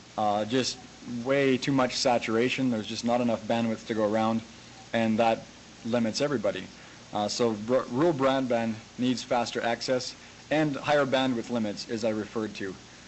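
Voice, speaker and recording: There is noticeable background noise as a man with a Canadian accent speaks at a moderate pace, with medium pitch and fairly even intonation. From Canada. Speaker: farmer and tech website owner. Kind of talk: conference talk. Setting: videoconference. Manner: hesitant, conversational.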